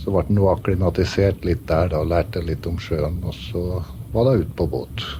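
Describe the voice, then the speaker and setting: Lively intonation in a northern Norwegian accent, at a fairly slow pace with long, frequent pauses and noticeable background noise. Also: man. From Northern Norway, Velfjord near Brønnøysund. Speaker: ship's first mate. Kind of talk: radio interview.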